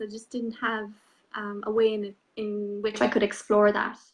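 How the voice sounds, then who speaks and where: In an Irish accent, a woman speaks at a moderate pace with a fairly high pitch. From Ireland, small village. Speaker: spiritual coach. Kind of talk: interview.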